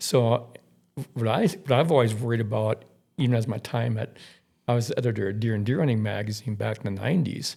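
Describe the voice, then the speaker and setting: A man's medium-pitched, somewhat breathy voice with a dark, mellow tone, an American accent, ordinary pitch variation and a fairly quick pace. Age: 60s. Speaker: outdoor writer. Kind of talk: podcast interview. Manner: halting, repeats words.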